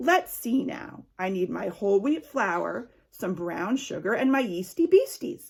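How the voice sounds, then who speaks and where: A woman does a put-on character voice at a medium pitch. She speaks fairly slowly with very wide pitch swings. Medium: read story. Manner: fussy, exclaiming "oh my".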